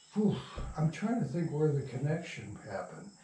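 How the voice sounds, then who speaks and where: A man with lively intonation amid noticeable background noise and audible room echo. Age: 80s+. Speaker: radio playwright and producer. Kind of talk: casual interview. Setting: at home. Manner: halting.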